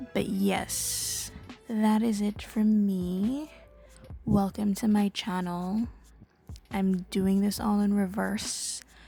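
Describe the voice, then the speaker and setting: A woman's medium-pitched voice, very even in loudness and fairly even in intonation, at a very slow pace with long, frequent pauses, over background music. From Caribbean. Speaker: digital artist and YouTuber. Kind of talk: casual rant monologue. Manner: hesitant, many filler ums.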